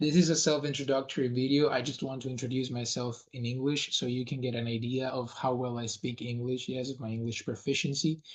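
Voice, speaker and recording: A man with a Spanish accent and a medium, somewhat breathy voice speaks at a fairly quick pace with hardly any pauses and fairly even intonation. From Venezuela. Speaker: language coach. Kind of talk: self-introduction monologue. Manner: hesitant with fillers.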